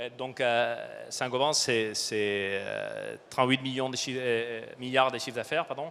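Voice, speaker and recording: A man's medium-pitched voice with a non-native accent, at a fairly slow pace. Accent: foreign accent, noticeable. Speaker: supply chain director. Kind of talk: conference talk. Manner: halting, many fillers.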